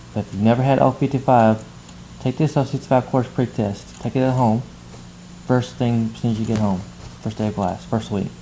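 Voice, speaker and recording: The pace is fairly quick. Long pauses come often. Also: man, medium pitch for a man, fairly even intonation. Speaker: math instructor. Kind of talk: tutorial. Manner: fast.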